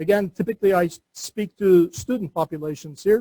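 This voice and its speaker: A man with a Turkish accent speaks at a moderate pace with ordinary pitch variation, in a dry, close sound with no echo. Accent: Turkish accent, noticeable. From Turkey. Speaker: entrepreneur and university lecturer. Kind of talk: seminar lecture. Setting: classroom seminar with webinar audience.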